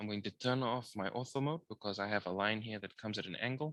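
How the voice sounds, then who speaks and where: A man at a very fast pace, fairly low in pitch, with a bright, sharp tone and fairly even intonation. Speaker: engineering drawing lecturer. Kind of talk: tutorial.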